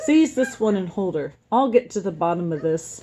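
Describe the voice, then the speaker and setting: Putting on a gruff character voice, a woman speaks at a moderate pace and a medium pitch. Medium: read story. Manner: loud, gruff.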